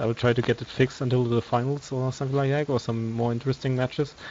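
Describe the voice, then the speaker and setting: Very fast, monotone, flat delivery with a non-native accent. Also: man. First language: not English. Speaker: esports commentator. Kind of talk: live commentary. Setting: live stream. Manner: halting.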